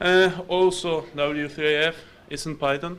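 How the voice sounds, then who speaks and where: In an Argentine accent, a man speaks very slowly in a high pitch. His intonation is monotone and flat, and the room echo is audible. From Argentina. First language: Spanish. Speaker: security researcher and programmer. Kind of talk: conference talk.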